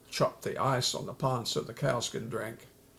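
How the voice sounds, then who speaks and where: Vocal fry runs through this man's medium-pitched voice. He speaks fairly slowly. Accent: American. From western Oklahoma. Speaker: army veteran. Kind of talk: oral history interview. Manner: halting, frequent uh fillers.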